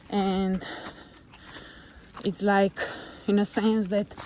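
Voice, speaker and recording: Speech comes at a very slow pace with a Slovenian accent. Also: woman. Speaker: motivational vlogger. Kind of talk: casual vlog monologue. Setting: outdoors, walking on a forest trail.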